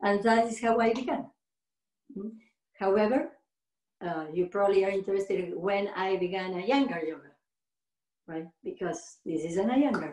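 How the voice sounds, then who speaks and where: With a Spanish accent, a woman talks at a moderate pace and medium pitch, with ordinary pitch variation and long, frequent pauses. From Argentina. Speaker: yoga teacher. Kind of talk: interview. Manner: halting.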